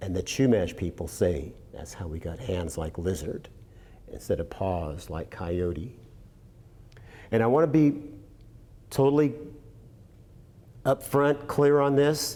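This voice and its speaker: Using very wide pitch swings and big swings in loudness, a speaker with an American accent and a dark, mellow tone talks at a fairly slow pace with long, frequent pauses. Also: man, fairly low pitch for a man. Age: 60s. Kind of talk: storytelling. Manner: animated.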